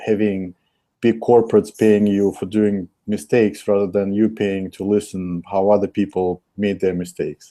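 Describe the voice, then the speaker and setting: Over a quiet background, a man with a Russian accent speaks slowly in a fairly low, dark, mellow voice with monotone, flat intonation. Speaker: investor. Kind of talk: interview. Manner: hesitant with fillers.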